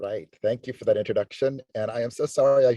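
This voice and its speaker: The audio is dry and close, with no echo at all. A man is talking. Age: 60s. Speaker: dance professor. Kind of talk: personal testimony. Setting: video call. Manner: halting, many fillers.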